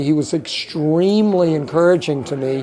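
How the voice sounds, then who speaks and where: Behind a fairly high-pitched male voice, background noise is noticeable. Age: 70s. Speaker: artist and video maker receiving an award. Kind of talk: acceptance speech and interview. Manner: halting.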